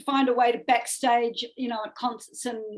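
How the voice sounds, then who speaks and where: A woman's fairly high voice in a strong New Zealand accent, at a fairly quick pace. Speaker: music manager. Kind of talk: interview conversation. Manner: animated.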